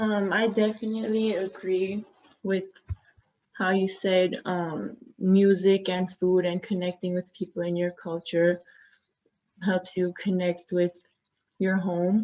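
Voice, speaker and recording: A woman with a non-native accent at a very slow pace, medium pitch and monotone, flat intonation, her tone dark and mellow, with long, frequent pauses. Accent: noticeable foreign-sounding accent in English. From US, Glendale California (Armenian community). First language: Armenian. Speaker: university student panelist. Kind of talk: panel discussion.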